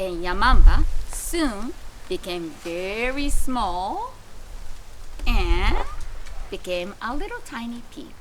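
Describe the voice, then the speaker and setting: A woman's high voice at a very slow pace, with long, frequent pauses, very wide pitch swings, big swings in loudness and noticeable background noise. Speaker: pre-school founder and storyteller. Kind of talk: children's storytelling reading (kamishibai).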